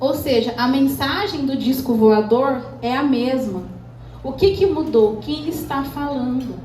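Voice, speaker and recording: Against noticeable background noise and audible room echo, a woman talks fairly slowly in an animated tone, her high pitch varying in an ordinary way. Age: 30s. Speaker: speaker at entrepreneurs event. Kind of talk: motivational talk.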